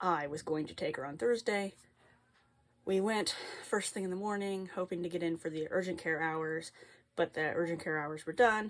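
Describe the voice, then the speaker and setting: With a plain, everyday voice, a woman talks at a moderate pace and ordinary pitch variation on a very clean recording with a silent background. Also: fairly low pitch for a woman. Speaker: flosstube cross-stitch vlogger. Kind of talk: casual chat.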